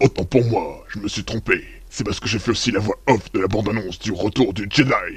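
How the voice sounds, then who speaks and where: A man puts on a character voice. He delivers it at a fairly quick pace. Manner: grand, dramatic.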